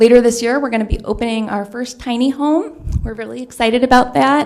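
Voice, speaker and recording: Soft-spoken and fairly quick, a woman talks at a high pitch with ordinary pitch variation. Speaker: county agency manager. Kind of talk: public comment presentation. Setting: council meeting chamber. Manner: hesitant, frequent fillers.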